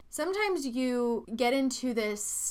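This woman's voice has a bright, sharp tone. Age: 20s. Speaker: podcast host, self-help speaker. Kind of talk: solo motivational monologue.

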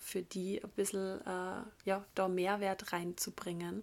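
A woman speaks at a medium pitch, very slowly and in a flat monotone. The recording is very clean, with a silent background. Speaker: podcast host, yoga teacher and spiritual coach. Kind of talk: solo podcast monologue. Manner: casual, with frequent filler sounds.

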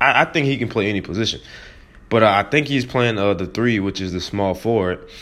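A man with a fairly low pitch and an animated tone, ordinary pitch variation, at a fairly quick pace. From US South, New Orleans. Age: 20s. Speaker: podcast host. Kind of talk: casual monologue.

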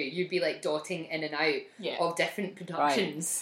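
A woman speaks with a slight Scottish accent at a fairly low pitch and a moderate pace. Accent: mild Scottish. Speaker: podcast co-host.

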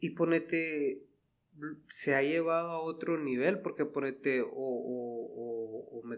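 This man's voice is fairly high-pitched, with ordinary pitch variation. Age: 30s. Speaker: podcast host. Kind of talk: casual chat. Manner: animated.

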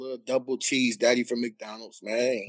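At a fairly quick pace, a man talks in a normal speaking voice with medium pitch, in a dry, close sound with no echo. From Cleveland, Ohio. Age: 30s. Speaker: basketball coach and former player. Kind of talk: casual chat.

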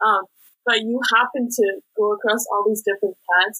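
A woman with an American accent speaks at a fairly quick pace. Her tone is bright and sharp, and the sound is dry and close with no echo. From US West Coast, San Francisco Bay Area. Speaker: university student. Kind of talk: interview.

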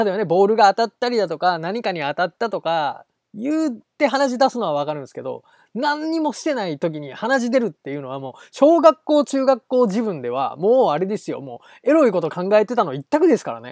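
A man with a high pitch talks at a fairly quick pace, his pitch swinging very widely and his loudness rising and falling a lot. The recording is very clean with a silent background, and the sound is dry and close with no echo. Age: 30s. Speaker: solo podcast host. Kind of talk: casual solo monologue.

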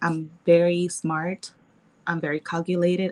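The sound is dry and close with no echo, and the speaker talks with a Nicaraguan accent. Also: woman. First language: Spanish. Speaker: model and mixologist. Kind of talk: casual chat. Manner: shy, laughs often.

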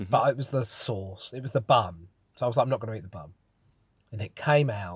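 Over a silent background in a very clean recording, a man speaks at a very fast pace with lively intonation and a somewhat breathy voice. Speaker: podcast co-host. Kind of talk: casual chat.

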